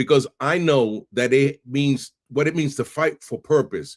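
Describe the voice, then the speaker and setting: With a New York accent and an animated tone, a man speaks at a fairly high pitch and a fairly slow pace, with ordinary pitch variation and vocal fry, in a very clean recording with a silent background. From New York City (Bronx, Brooklyn). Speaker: podcast host. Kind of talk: podcast intro monologue. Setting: live stream.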